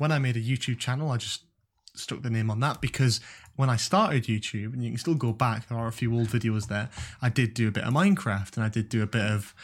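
At a very fast pace, a man with a Geordie accent talks in a medium-pitched, somewhat breathy voice. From Newcastle, northern England. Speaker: university student and YouTube content creator. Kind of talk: casual chat.

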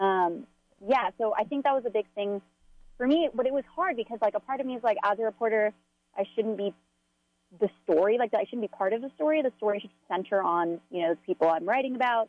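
Her intonation lively, a woman speaks at a fairly quick pace. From Los Angeles. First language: Spanish. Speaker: newspaper reporter. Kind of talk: interview.

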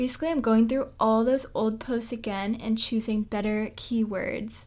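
A woman speaks with an American accent at a fairly high pitch. Her intonation is monotone and flat. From US Northeast, Boston. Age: 20s. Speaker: podcast host, travel blogger. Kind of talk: casual solo podcast monologue. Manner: chatty, conversational.

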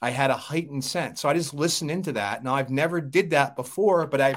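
A man's pitch varies in an ordinary way on a very clean recording with a silent background. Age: 40s. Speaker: Marine veteran and Pilates instructor. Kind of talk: interview conversation. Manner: halting.

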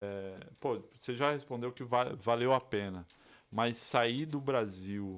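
Here is a normal speaking voice at a fairly slow pace. Its pitch varies in an ordinary way. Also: man. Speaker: podcast co-host. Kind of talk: casual chat. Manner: relaxed, slangy.

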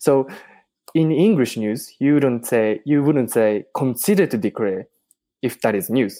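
In a Japanese accent, the speaker talks fairly slowly with a dark, mellow tone and lively intonation. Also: man, medium pitch for a man. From Japan, Tokyo. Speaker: podcast host. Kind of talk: casual interview. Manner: halting, many fillers.

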